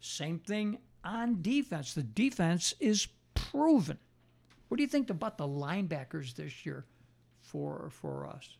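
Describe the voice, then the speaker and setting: The speaker goes at a fairly slow pace with very wide pitch swings, and the recording is very clean with a silent background. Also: man, high pitch for a man. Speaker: podcast co-host and football fan. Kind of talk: casual chat. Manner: jovial.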